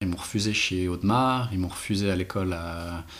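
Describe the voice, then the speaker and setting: Audible room echo carries a man's very deep, low voice. He speaks at a fairly slow pace with ordinary pitch variation. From French-speaking Switzerland, Renens near Lausanne. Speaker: watchmaker and brand co-founder. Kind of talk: casual interview.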